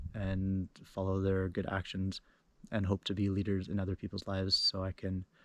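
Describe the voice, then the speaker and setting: A man's fairly low voice, monotone and flat, at a moderate pace, with a dry, close sound with no echo and a very clean recording on a silent background. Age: 30s. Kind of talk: casual talk to camera.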